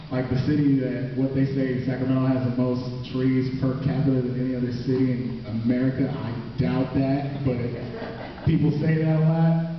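In a room with strong echo and light background noise, a man speaks at a moderate pace with monotone, flat intonation. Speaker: slam poet and high school theater teacher. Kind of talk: spoken word performance intro, casual talk to audience. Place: stage.

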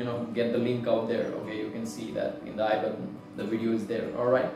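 A man's voice with audible room echo and clear music in the background. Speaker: book haul vlogger. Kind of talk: casual vlog chat.

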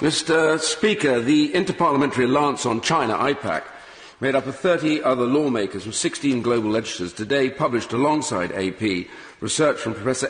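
A man speaks at a moderate pace with lively intonation, and the room echo is audible. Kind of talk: parliamentary speech. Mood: grave, emphatic. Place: hall.

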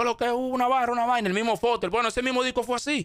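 The recording of a man's voice is dry with no echo, set against a quiet background. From Dominican Republic, Santo Domingo; Dominican Republic. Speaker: rapper; interview guest. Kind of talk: interview. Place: studio. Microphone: studio mic.

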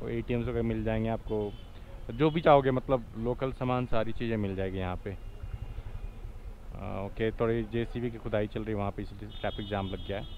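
Over light background noise, a man's voice comes through dry, with no echo. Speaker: motorbike travel vlogger. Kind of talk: casual vlog commentary. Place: motorbike. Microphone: helmet.

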